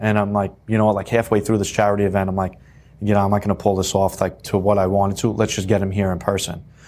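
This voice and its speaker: In a very clean recording with a silent background, a man talks very fast at a fairly low pitch, his intonation flat and monotone and his loudness very even. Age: 20s. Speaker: loan officer. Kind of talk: casual interview.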